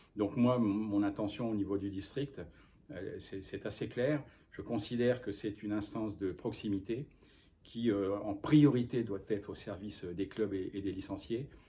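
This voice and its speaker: A man's fairly low, dark and mellow voice, somewhat breathy, with fairly even intonation at a fairly slow pace. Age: 60s. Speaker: football official. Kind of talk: interview. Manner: halting.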